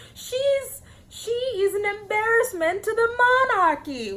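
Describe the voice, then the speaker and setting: Using a put-on character voice, a woman talks at an extremely high pitch and a fairly slow pace. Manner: disdainful, sneering.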